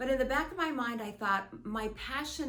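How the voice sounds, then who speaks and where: There is noticeable background noise as a woman speaks at a moderate pace with ordinary pitch variation. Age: 60s. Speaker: author. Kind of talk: casual talk to camera.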